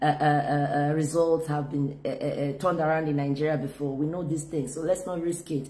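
A woman with a very deep, low voice speaks at a fairly quick pace with hardly any pauses. Her intonation is flat and monotone. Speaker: politician. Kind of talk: appeal to camera. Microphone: phone near.

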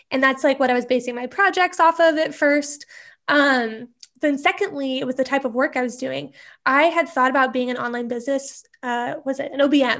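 High pitch from a woman, with ordinary pitch variation. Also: fairly quick pace, quiet background. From US Midwest, small-town Nebraska. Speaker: email marketing strategist; interview guest. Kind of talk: interview. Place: home room. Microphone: earbuds.

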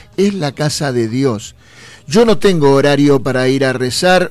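At a fairly slow pace and with ordinary pitch variation, the speech comes through noticeable background noise. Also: man. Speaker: radio host. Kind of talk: casual chat.

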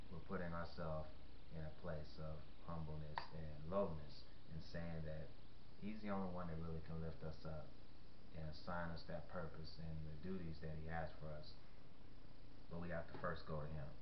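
Over noticeable background noise, a man with a very deep, low pitch talks at a moderate pace in a monotone, flat intonation, with long, frequent pauses. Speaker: faith vlogger. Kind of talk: sermon-like vlog talk. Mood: earnest, calm. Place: home room. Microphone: webcam.

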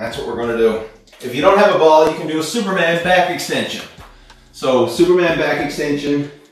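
A man talks at a fairly quick pace with ordinary pitch variation and big swings in loudness. Strong room echo surrounds his voice. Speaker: fitness instructor. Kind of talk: tutorial. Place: gym.

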